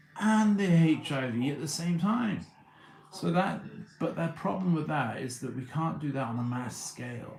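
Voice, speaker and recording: A man with a British accent speaks at a moderate pace with lively intonation, and audible room echo is present. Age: 30s. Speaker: livestreamer. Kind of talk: casual livestream monologue. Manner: halting, many repeated words.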